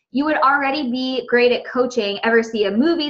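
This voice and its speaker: A woman speaks with a high pitch and fairly even intonation. Noticeable background noise is present. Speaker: network marketing coach. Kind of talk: training presentation. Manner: fast.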